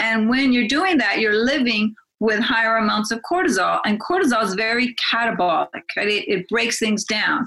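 A woman speaks at a very even loudness with hardly any pauses. Her fairly high pitch moves in a lively intonation. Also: moderate pace. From Azores, Portugal (to age 11), then US. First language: Portuguese. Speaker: physician. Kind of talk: interview.

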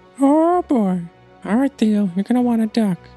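A man performs a put-on character voice at an extremely high pitch and a moderate pace. Faint music sits in the background. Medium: actual play.

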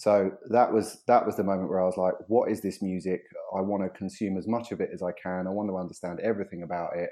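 In a southern English accent, a man talks at a very fast pace with monotone, flat intonation. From southeast England. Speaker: music industry executive. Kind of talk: casual interview. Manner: halting.

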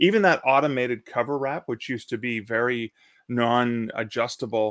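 A man's plain, everyday voice with a Canadian accent, medium pitch, fairly even intonation and a moderate pace, in a very clean recording with a silent background and a dry, close sound with no echo. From Canada. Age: 50s. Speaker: self-publishing company team member and author. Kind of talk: live-streamed panel chat about self-publishing.

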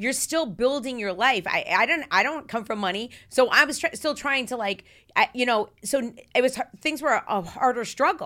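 In a very clean recording with a silent background, a woman speaks with a high pitch, a bright, sharp tone and lively intonation. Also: moderate pace. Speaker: podcast host, former radio host. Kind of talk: casual chat. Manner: talkative, goes on tangents.

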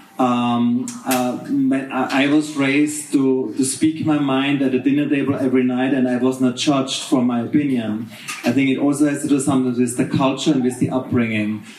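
A man's medium-pitched, monotone delivery with flat intonation and very even loudness, at a moderate pace over noticeable background noise. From Austria. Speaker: hotel manager. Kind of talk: panel discussion. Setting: stage with audience.

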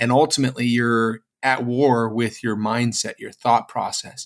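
A man at a medium pitch speaks at a moderate pace in a normal speaking voice, on a very clean recording with a silent background. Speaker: podcast co-host. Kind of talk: casual chat. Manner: conversational, uses 'right?' often.

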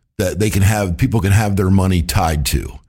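A somewhat breathy voice at a moderate pace, on a very clean recording over a silent background. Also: man. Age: 50s. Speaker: financial advisor and podcast host. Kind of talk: casual interview.

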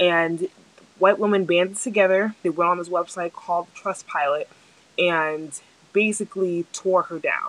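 A woman's unremarkable speaking voice with an American accent, medium in pitch, at a moderate pace, with fairly even intonation. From New Jersey. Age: 20s. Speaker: podcast host. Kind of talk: casual monologue. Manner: frequent filler ums.

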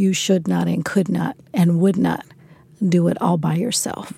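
This woman's voice has a dark, mellow tone and a medium pitch. She sounds somewhat breathy and talks at a fairly slow pace. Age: 50s. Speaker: youth development nonprofit leader. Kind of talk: interview. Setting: San Francisco.

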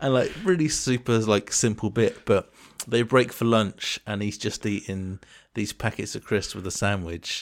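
A fairly low-pitched man with an English accent at a moderate pace, ordinary pitch variation, on a very clean recording with a silent background. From England. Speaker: podcast co-host. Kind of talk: casual chat.

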